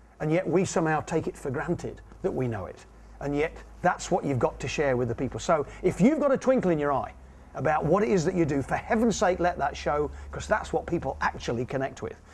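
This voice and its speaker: A man with an English accent talks at a fairly quick pace in a fairly high pitch, his intonation lively. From England. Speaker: communication trainer. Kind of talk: interview.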